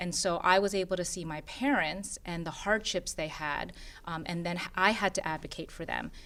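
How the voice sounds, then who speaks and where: In a Korean accent, a woman with a fairly low pitch and a bright, sharp tone speaks at a moderate pace with ordinary pitch variation. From Philadelphia, US (Korean immigrant community). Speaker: board member of an immigrant women's nonprofit. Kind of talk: interview conversation.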